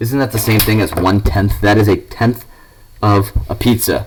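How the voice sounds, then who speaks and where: In an unremarkable speaking voice, a man with a fairly low pitch talks at a moderate pace using lively intonation. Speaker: math teacher. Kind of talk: recorded lesson. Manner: casual.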